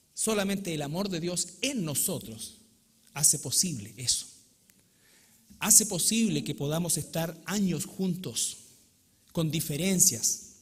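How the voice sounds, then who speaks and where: A man speaks very slowly at a high pitch, with lively intonation. Long, frequent pauses break up his speech, and room echo is audible. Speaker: pastor. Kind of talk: sermon. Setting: church.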